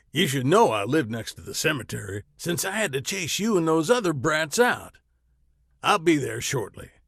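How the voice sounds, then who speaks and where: A man puts on a growling, gruff character voice, fairly high in pitch, with very wide pitch swings at a moderate pace. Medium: read story. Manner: growling, blunt.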